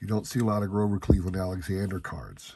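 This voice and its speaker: This man has a fairly low pitch and a dark, mellow tone, with an American accent. His voice is somewhat breathy. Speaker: card collecting YouTuber. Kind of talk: casual hobby vlog. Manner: conversational, some hesitations.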